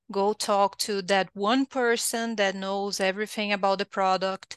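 A woman speaks with monotone, flat intonation at a fairly slow pace. The background is quiet. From southern Brazil. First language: Portuguese. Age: 30s. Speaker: technical writer. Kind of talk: interview.

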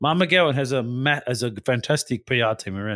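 A man's medium-pitched voice with very wide pitch swings and an Australian accent. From Western Australia. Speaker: podcast co-host. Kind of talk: casual political chat.

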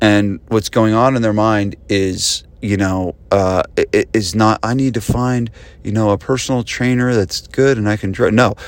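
At a moderate pace and with fairly even intonation, this is an unremarkable speaking voice on a very clean recording with a silent background. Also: man. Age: 40s. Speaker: podcast host, gym business coach. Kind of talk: casual solo podcast talk.

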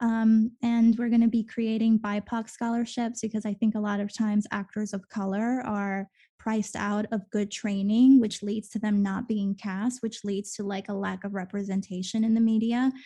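Against a quiet background, a woman with a dark, mellow, somewhat breathy tone talks in a fairly high voice, her intonation monotone and flat, with hardly any pauses. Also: moderate pace. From Venezuela, then raised in eastern US from age eight. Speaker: actor. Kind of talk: casual interview chat.

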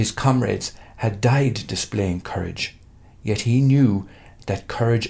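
An unforced reading voice with ordinary pitch variation carries the lines.

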